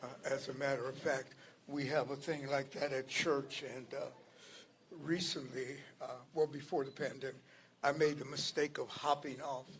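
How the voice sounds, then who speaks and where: At a moderate pace but with long, frequent pauses, a man speaks in a somewhat breathy, fairly high voice with monotone, flat intonation. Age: 70s. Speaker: community speaker, army veteran. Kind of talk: rally speech. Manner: halting, many fillers.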